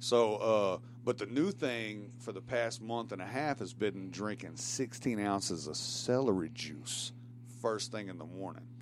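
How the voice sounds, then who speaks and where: A man with a Tennessee accent, medium pitch, ordinary pitch variation and a fairly slow pace. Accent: Southern US (Tennessee). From Tennessee (Shelbyville, Bedford County). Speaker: guest on talk show, writer. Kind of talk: casual chat. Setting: studio.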